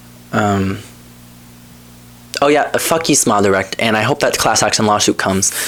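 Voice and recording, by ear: A man talks at a moderate pace with a fairly low pitch, ordinary pitch variation, and very even loudness. Long pauses come often, and background noise is noticeable.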